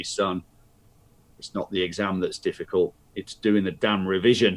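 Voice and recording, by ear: A man puts on a booming character voice at a fairly low pitch. He speaks at a moderate pace in a dry, close sound with no echo.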